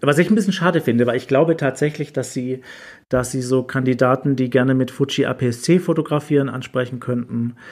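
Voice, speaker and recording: A man with an ordinary speaking voice talks at a fairly quick pace, medium in pitch with ordinary pitch variation, on a very clean recording with a silent background. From southwest Germany, near Rottweil. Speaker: photographer and photobook author. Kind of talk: casual chat.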